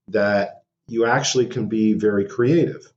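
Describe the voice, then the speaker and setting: A man speaks at a fairly slow pace. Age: 60s. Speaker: anthropologist / archaeologist professor. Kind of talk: interview conversation. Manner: halting, many fillers.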